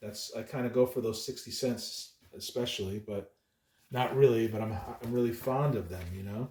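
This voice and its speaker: Somewhat breathy, a man at medium pitch talks at a moderate pace with ordinary pitch variation. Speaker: comic book collector youtuber. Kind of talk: casual chat. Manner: mumbling; halting.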